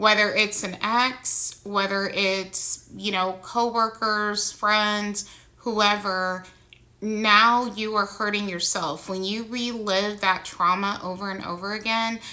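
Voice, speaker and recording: Audible room echo surrounds a very slow, monotone delivery with flat intonation and a bright, sharp tone. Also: woman, medium pitch for a woman. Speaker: vlogger sharing personal experience. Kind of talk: personal monologue vlog. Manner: slow, halting.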